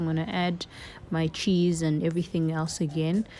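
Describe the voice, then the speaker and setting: In a very clean recording over a silent background, a woman with a non-native accent speaks in a fairly low voice with a dark, mellow tone. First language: not English. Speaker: cooking vlogger. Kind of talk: cooking tutorial. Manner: casual, chatty.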